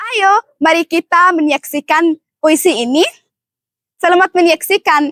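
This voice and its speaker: A woman with an Arabic accent at an extremely high pitch, fairly slow, with long, frequent pauses and ordinary pitch variation. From Egypt. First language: Arabic (speaking Indonesian). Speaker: student contestant in poetry recital competition. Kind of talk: self-introduction.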